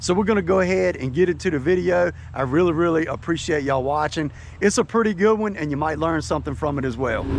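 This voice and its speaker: A man with a Southern US accent, fairly high pitch, lively intonation and a very fast pace, amid noticeable background noise. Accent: Southern American. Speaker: fishing video creator. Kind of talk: casual fishing vlog narration. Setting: outdoors on a boat on a lake.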